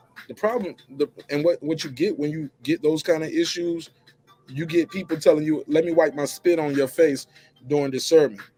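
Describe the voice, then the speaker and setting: Music plays behind a man with a fairly high pitch. He talks at a moderate pace with ordinary pitch variation. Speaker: YouTube commentator / show host. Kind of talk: casual talk to camera, news commentary. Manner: energetic, casual.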